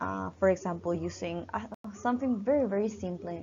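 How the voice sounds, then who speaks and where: A woman with a Spanish accent speaks at a moderate pace. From Peru. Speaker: university teacher. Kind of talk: lecture. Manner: halting, many fillers.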